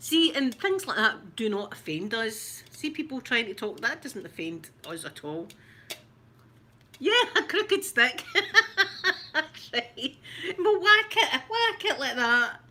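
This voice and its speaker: In a Glaswegian accent, a raised, projected voice moves at a very slow pace with long, frequent pauses, big swings in loudness and very wide pitch swings. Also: woman, high pitch for a woman. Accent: Glasgow Scottish, rough. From Scotland, Glasgow. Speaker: ASMR creator. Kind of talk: ASMR unboxing chat.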